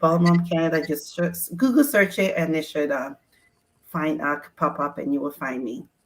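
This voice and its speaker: A woman's voice, very deep and low in pitch, at a moderate pace. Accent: Ghanaian. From Ghana. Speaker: sports mom community founder. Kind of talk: casual chat.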